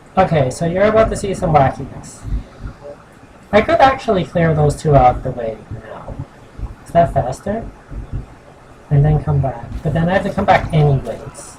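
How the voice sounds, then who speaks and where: Noticeable background noise runs under the speech. The pace is moderate, broken by long, frequent pauses. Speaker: gaming streamer. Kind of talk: live gameplay commentary.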